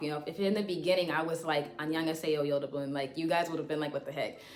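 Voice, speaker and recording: A woman with a fairly low pitch is heard amid noticeable background noise and audible room echo. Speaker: language learning YouTuber. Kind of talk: casual tutorial vlog. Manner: casual, many fillers.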